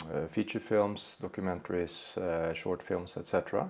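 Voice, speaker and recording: A man speaks with ordinary pitch variation. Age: 60s. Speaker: psychotherapist. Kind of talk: podcast interview. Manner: hesitant, many fillers.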